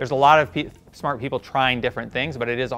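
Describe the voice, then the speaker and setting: A man with fairly even intonation and faint music in the background. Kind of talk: interview answer. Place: studio. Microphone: lapel.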